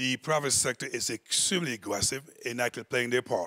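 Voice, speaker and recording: A man speaks with a bright, sharp tone. His pitch varies in an ordinary way. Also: quiet background. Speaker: conference panel moderator. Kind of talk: moderated panel discussion. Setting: stage with audience. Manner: animated. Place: hall. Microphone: handheld.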